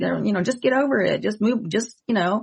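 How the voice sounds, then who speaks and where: A woman's fairly high, an unremarkable speaking voice, with lively intonation. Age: 60s. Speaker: psychic medium and podcast host. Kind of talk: casual chat.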